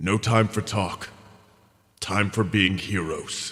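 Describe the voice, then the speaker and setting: A man's put-on character voice, fairly low in pitch and at a fairly slow pace. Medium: read story. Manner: short clipped phrases.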